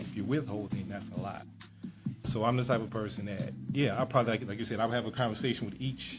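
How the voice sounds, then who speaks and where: Over music in the background, a man talks at a very fast pace in a medium pitch with ordinary pitch variation. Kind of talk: guest discussion on radio talk show.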